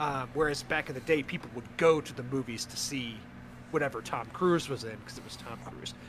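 Here is an unremarkable speaking voice at a fairly quick pace with ordinary pitch variation. Its loudness swings a lot. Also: man, medium pitch for a man. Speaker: podcast host. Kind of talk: casual chat.

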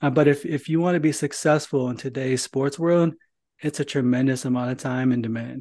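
With an American accent and an unremarkable speaking voice, a man speaks at a fairly quick pace and a fairly high pitch, his intonation fairly even. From northern Indiana. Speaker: podcast host. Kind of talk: podcast interview.

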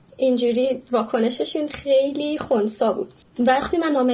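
Lively intonation at a moderate pace. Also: woman. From Iran, Yazd. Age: 20s. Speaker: audiologist, immigrant. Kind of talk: interview, casual chat.

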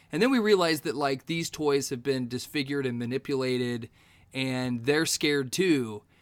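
A man talks at a moderate pace and medium pitch. It is an ordinary speaking voice with ordinary pitch variation. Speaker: podcaster guest. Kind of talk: casual podcast chat.

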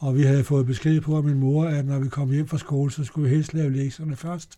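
Speaking at a moderate pace, a man with a fairly high pitch and a dark, mellow tone keeps a monotone, flat intonation. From Denmark, Copenhagen. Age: 80s+. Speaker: amateur singer. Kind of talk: interview. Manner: halting.

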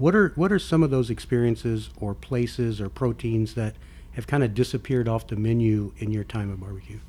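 A man talks at a fairly quick pace in a medium pitch. His voice is somewhat breathy, with ordinary pitch variation. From Texas. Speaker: podcast host. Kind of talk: casual chat.

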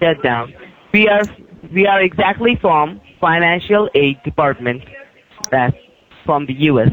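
Fairly high in pitch, a man speaks with lively intonation at a fairly slow pace. He leaves long, frequent pauses over noticeable background noise. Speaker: scammer caller. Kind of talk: scam phone call. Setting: phone call.

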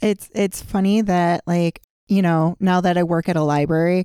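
A woman with an American accent speaks at a fairly low pitch in a dark, mellow tone, with monotone, flat intonation. The pace is moderate, and the recording is very clean with a silent background. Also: dry, close sound with no echo. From upstate New York. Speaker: podcast co-host, library staff. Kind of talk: casual chat. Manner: loud, projecting.

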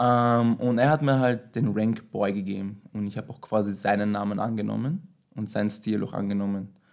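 Ordinary pitch variation at a moderate pace, on a very clean recording with a silent background. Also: man, big swings in loudness. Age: 20s. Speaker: dancer. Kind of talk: casual interview. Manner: hesitant, many fillers.

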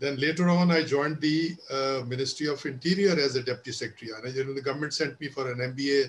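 A man talks fairly quickly at a medium pitch with fairly even intonation. His voice is somewhat breathy. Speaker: retired civil servant. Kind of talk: panel discussion webinar.

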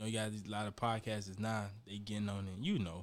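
This is a man with a fairly low pitch. His pace is moderate. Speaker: rapper. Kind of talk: casual chat.

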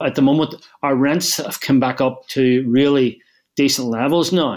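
This man speaks with a Northern Irish accent at a medium pitch with ordinary pitch variation. The recording is very clean, with a silent background. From Northern Ireland, Belfast. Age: 60s. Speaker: property investor. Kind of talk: casual chat.

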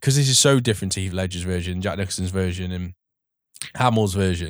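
This man speaks with an English accent. The recording is very clean, with a silent background. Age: 30s. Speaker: podcast host. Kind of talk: casual chat.

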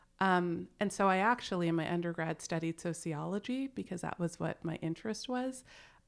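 A woman with a fairly low pitch talks at a fairly quick pace with ordinary pitch variation in a plain, everyday voice on a very clean recording with a silent background. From Canada. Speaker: executive coach. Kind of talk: casual chat.

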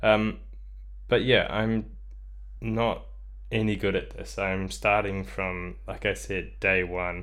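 With audible room echo around him, a man speaks at a very slow pace. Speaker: solo podcaster. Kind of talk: casual monologue. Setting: bedroom home studio. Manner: halting, many ums and ahs.

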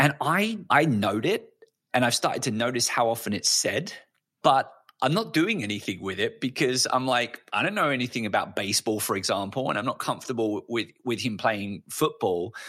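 Lively intonation, a bright, sharp tone and a moderate pace, with a British accent. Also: man, medium pitch for a man. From UK. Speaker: education podcast co-host and creativity scholar. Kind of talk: casual interview.

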